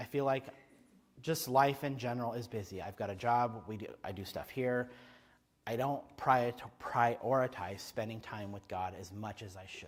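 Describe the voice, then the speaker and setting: A man with a medium pitch sounds animated, his pitch varying in an ordinary way and his loudness swinging widely. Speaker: preacher. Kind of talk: sermon. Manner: fast.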